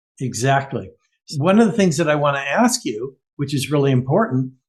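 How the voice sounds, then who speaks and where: At a moderate pace, a man speaks in a fairly high pitch, his voice somewhat breathy. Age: 70s. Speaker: podcast host. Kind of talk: podcast interview.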